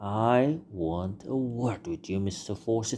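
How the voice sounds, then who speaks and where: A man's shaky, put-on character voice at a medium pitch and a fairly slow pace. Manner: angry, determined.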